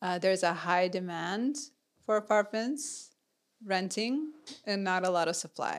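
Moving at a fairly slow pace, an unremarkable speaking voice comes through on a very clean recording with a silent background. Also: woman, medium pitch for a woman. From US Midwest and Texas (Minnesota, Houston). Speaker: podcast co-host, growth marketer. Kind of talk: interview, personal story.

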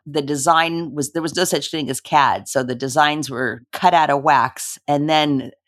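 The speaker has a Californian accent and talks at a fairly slow pace with ordinary pitch variation. The recording is very clean with a silent background. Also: woman. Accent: Californian American. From Los Angeles, US. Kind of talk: interview conversation.

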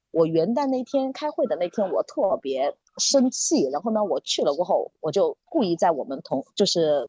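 With hardly any pauses, a woman talks at a moderate pace in a dark, mellow tone at medium pitch, with vocal fry and very wide pitch swings, in a dry, close sound with no echo. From Sichuan. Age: middle-aged. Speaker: podcast guest. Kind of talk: casual chat.

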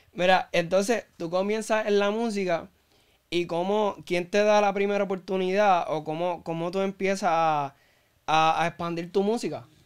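High-pitched for a man, his voice moves at a moderate pace with fairly even intonation on a very clean recording with a silent background. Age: 20s. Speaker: podcast host. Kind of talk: interview. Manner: halting.

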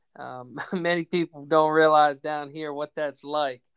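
A man's fairly high, flat, monotone voice with an American accent at a moderate pace, in a very clean, dry, close recording with no echo and a silent background. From Maryland mountains, US. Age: 20s. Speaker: college baseball coach. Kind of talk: casual chat.

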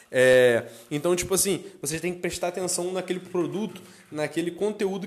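Through noticeable background noise, a man speaks at a moderate pace with ordinary pitch variation. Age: 20s. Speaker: podcast co-host, entrepreneur. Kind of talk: casual chat.

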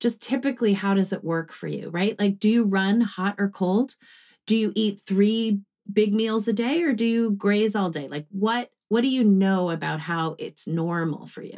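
Over a quiet background, a woman talks at a moderate pace in an ordinary speaking voice, medium in pitch with ordinary pitch variation. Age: 40s. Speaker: grief therapist and author. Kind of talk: casual interview.

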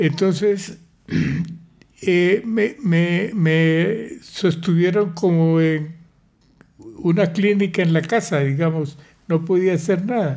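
A man's high-pitched voice at a very slow pace, broken by long, frequent pauses. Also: ordinary pitch variation, very even loudness. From Colombia, Pamplona, Norte de Santander. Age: 80s+. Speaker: grandfather sharing life story. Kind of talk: casual family interview.

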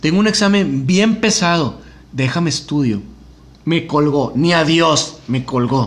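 Here is a man with an ordinary speaking voice and fairly high pitch. He speaks at a fairly slow pace with lively intonation. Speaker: podcast host. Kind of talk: casual chat.

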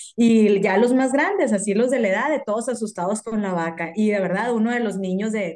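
Her voice is an unremarkable speaking voice, a woman's at fairly high pitch, with ordinary pitch variation and a moderate pace. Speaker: amateur marathon runner, office worker. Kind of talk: casual chat.

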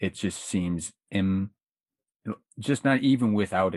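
In an American accent, a man with an unremarkable speaking voice talks at a moderate pace in a fairly low pitch with ordinary pitch variation, recorded in a dry, close sound with no echo against a quiet background. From Florida, Pasco County. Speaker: writer and podcaster. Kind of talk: casual chat.

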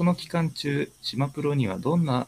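A man at a moderate pace, his sound dry and close with no echo. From Ishikawa Prefecture. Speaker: community interviewer, software engineer. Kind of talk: interview hosting. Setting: online live stream. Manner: formal.

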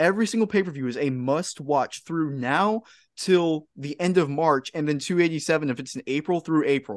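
A man with a normal speaking voice speaks at a fairly high pitch and a moderate pace, with ordinary pitch variation. The background is quiet. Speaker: podcast host. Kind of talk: casual chat.

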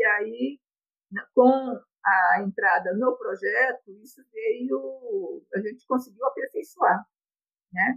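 The woman's delivery is very slow, broken by long, frequent pauses. Her volume rises and falls sharply. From Brazil, rural São Paulo state (Bebedouro), Japanese-Brazilian family. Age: 70s. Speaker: retiree telling her life story. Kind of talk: personal testimony.

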